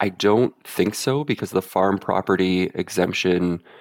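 In a Canadian accent, a man with an ordinary speaking voice talks at a fairly low pitch and a moderate pace. The sound is dry and close with no echo, and the pitch variation is ordinary. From central Canada. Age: 30s. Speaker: caller seeking financial advice. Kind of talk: advice call.

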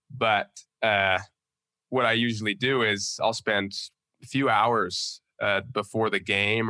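Against a quiet background, a man with a Western US accent speaks in a fairly low pitch with a bright, sharp tone. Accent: American (Western US). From Utah. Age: 20s. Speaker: college football player. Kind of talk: casual interview.

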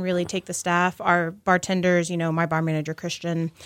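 In a dry, close sound with no echo, a woman with an American accent speaks very fast at a fairly low pitch. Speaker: restaurant manager. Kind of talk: casual interview. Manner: animated.

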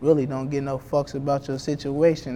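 With an American accent, a man keeps his delivery at a moderate pace. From Columbus, Ohio. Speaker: rapper. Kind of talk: interview. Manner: casual, slangy.

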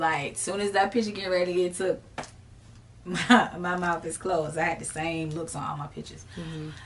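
With an American accent, a woman talks in a relaxed tone at a fairly low pitch. Noticeable background noise and audible room echo fill the recording. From Jacksonville, Florida (US South). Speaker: rapper and singer. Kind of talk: interview. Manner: casual, relaxed.

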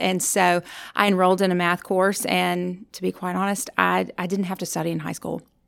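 In a very clean recording with a silent background, a woman speaks. She has a Louisiana accent and a moderate pace. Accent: Southern US (Louisiana). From US South, rural northern Louisiana. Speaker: university counseling director. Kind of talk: interview. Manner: halting.

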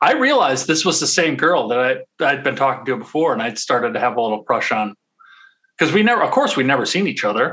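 Speaking at a very fast pace, a man with a fairly high pitch makes very wide pitch swings. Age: 30s. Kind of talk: casual chat. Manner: halting.

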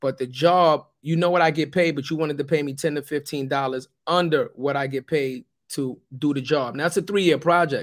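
Fairly high-pitched for a man, this voice moves at a fairly quick pace in an animated tone. The recording is very clean, with a silent background. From US Northeast (New York City projects). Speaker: podcast co-host, company executive. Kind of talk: casual chat.

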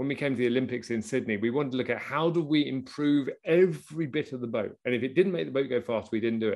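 Speaking at a very fast pace against a quiet background, a man uses lively intonation at medium pitch. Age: 50s. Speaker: podcast host, business coach. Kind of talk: interview. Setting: video call.

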